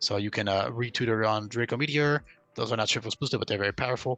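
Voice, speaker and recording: Very fast male speech, medium in pitch. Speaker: ROM hack developer explaining his game. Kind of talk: game commentary tutorial. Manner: casual with filler words.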